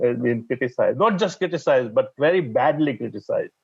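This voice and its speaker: A man with a fairly high pitch speaks at a moderate pace, using ordinary pitch variation. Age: 60s. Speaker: public health expert. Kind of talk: panel discussion. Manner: halting; animated.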